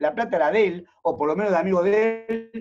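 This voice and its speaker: The man's voice has a dark, mellow tone. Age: 60s. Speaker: economist and university lecturer. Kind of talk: virtual talk on economics. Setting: video call.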